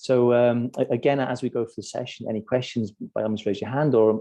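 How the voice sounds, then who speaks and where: This man talks at a fairly quick pace with a British accent. His intonation is fairly even. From UK. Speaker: corporate wellbeing strategist. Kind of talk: webinar presentation. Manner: halting, many repetitions and fillers.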